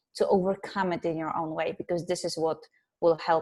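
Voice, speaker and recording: On a very clean recording with a silent background, a woman with a Polish accent speaks at a fairly low pitch with fairly even intonation. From Poland. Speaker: psychologist and life coach. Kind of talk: interview.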